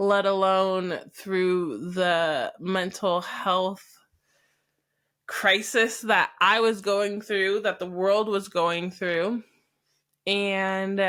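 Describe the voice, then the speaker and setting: A woman with an American accent speaks at a medium pitch, her tone bright and sharp. Her intonation stays fairly even on a very clean recording with a silent background. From US West, Idaho. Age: 30s. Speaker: podcast host. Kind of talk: personal storytelling monologue.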